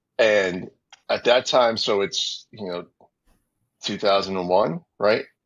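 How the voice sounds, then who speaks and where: With a New York accent, a man speaks in a fairly low pitch with ordinary pitch variation. His pace is very slow, with long, frequent pauses. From New York City, Queens. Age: 40s. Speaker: former TV wrestling producer. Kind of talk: interview storytelling. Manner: casual, many fillers and repetitions.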